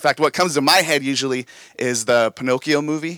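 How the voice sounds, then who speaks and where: A man talks at a fairly quick pace with a medium pitch and ordinary pitch variation, in an ordinary speaking voice. The recording is very clean, with a silent background and a dry, close sound with no echo. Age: 30s. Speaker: pastor. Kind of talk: sermon. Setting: church with live congregation. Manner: casual, conversational.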